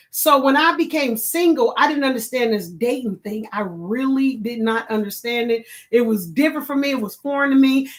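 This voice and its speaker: The speech moves at a moderate pace with hardly any pauses. Its intonation is lively. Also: woman, high pitch for a woman. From Chicago. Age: 50s. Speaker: online talk show host. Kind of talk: casual live-stream chat.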